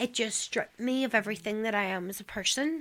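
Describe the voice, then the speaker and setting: Speaking fairly quickly in a fairly high voice with ordinary pitch variation, a woman is heard on a very clean recording with a silent background. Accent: Northern Irish. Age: 30s. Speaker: trafficking survivor. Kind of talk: testimony. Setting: radio studio.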